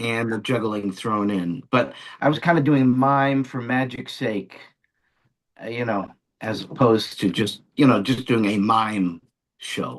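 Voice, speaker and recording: A man with a plain, everyday voice speaks at a fairly slow pace in an American accent, his pitch medium with ordinary variation. The background is quiet. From Long Island, New York. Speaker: magician and entertainer. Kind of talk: interview answer.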